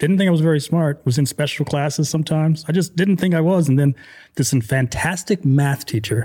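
The recording is very clean with a silent background, carrying a man's somewhat breathy, dark, mellow voice with ordinary pitch variation. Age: 40s. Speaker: podcast host. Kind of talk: casual interview chat. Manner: animated.

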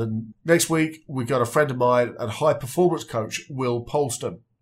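A man's medium-pitched, somewhat breathy voice, moderately paced, with ordinary pitch variation. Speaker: podcast host. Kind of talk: podcast interview.

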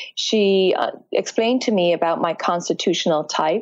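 A woman speaks in a fairly low voice with an Irish accent. The background is quiet. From Ireland. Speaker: fitness and yoga instructor, Ayurveda practitioner. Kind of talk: interview about health and wellness.

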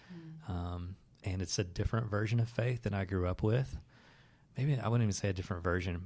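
A man talks at a fairly quick pace with ordinary pitch variation. His voice is fairly low and somewhat breathy. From US South, Southeast Tennessee. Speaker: former magician, storytelling entrepreneur. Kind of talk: interview conversation. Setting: his office.

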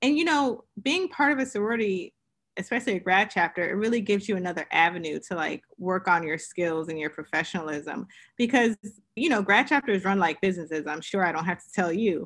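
Speaking at a fairly quick pace with lively intonation, a woman uses an ordinary speaking voice at a medium pitch against a quiet background. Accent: American. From Queens, New York, also upstate New York and Pennsylvania. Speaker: entrepreneur. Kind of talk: interview.

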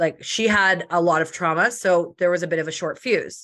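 A woman with a bright, sharp tone and medium pitch speaks at a moderate pace with ordinary pitch variation against a quiet background. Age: 30s. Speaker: social media entrepreneur. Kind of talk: casual interview. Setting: podcast recording. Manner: loud.

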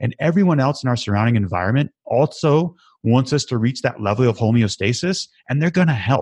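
A man talks at a fairly quick pace with lively intonation in an ordinary speaking voice, the sound dry and close with no echo against a quiet background. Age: 30s. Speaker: podcast host and recovery advocate. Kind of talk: casual interview.

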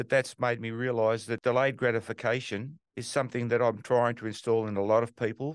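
Here a man speaks with an Australian accent at a medium pitch. His pace is fairly quick, and the background is quiet. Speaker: real estate investor. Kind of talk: interview.

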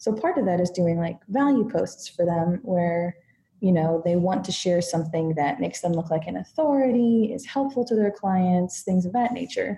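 A woman with an American accent speaks at medium pitch and a moderate pace, with lively intonation. Her tone is dark and mellow, and somewhat breathy. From United States. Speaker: content marketer and writer. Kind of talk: interview conversation.

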